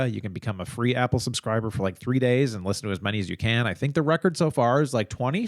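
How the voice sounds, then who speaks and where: A man speaks very fast at a medium pitch with ordinary pitch variation, in a dry, close sound with no echo. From Chicago suburbs, US Midwest. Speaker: true crime podcast co-host. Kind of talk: casual chat.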